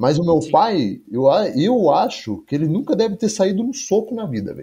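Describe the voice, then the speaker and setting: A man's dark, mellow voice with very wide pitch swings, at a fairly slow pace over a quiet background. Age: 20s. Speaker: MMA fighter and activist. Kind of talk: casual chat.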